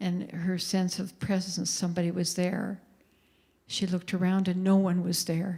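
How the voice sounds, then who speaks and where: A woman with a Canadian accent speaks at a moderate pace in a medium, somewhat breathy voice. Her intonation stays flat and monotone. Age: 70s. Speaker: anti-trafficking advocate. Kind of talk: talk to church audience.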